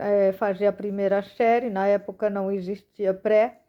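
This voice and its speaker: A woman is speaking here. Her pace is moderate. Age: 40s. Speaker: missionary. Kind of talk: testimony.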